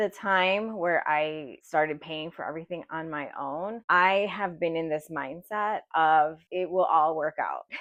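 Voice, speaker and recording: A woman talks at a moderate pace with a fairly low pitch, in an unremarkable speaking voice. The background is quiet. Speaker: personal finance vlogger. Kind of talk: personal vlog confession.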